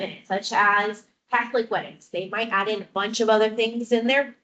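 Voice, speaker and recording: At a fairly high pitch, a woman talks at a moderate pace with ordinary pitch variation, in a normal speaking voice. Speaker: wedding photographer. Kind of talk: talk to audience.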